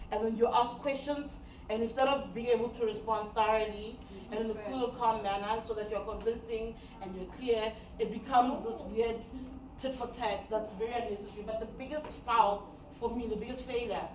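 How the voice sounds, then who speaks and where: Amid noticeable background noise and audible room echo, a woman speaks in an animated tone at a fairly high pitch and fairly quick pace. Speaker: media trainer and radio presenter. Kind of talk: training workshop talk. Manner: fast.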